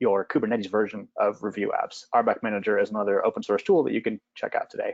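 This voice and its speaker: A man is recorded with a dry sound, no echo and a quiet background. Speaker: site reliability engineer; presenter. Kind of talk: webinar presentation. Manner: fast. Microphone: video call.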